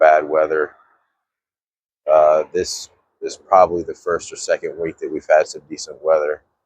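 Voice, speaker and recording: In a dry, close recording with no echo, a man talks at a moderate pace in a relaxed tone. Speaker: fishing vlogger and DIY boat builder. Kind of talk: casual vlog narration. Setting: outdoors by a marina at dawn. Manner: relaxed, with fillers.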